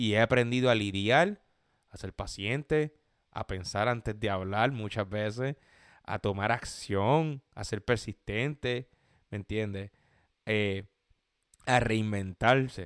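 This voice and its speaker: A man speaks at a very slow pace with long, frequent pauses and big swings in loudness. His pitch varies in an ordinary way on a very clean recording with a silent background. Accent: Puerto Rican. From Puerto Rico (Gurabo). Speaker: podcast host. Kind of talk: casual monologue. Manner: halting, many fillers.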